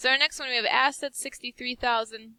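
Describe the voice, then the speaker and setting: A woman's bright, sharp tone in a dry, close sound with no echo. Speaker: high school business teacher. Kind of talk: recorded lesson tutorial. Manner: fast.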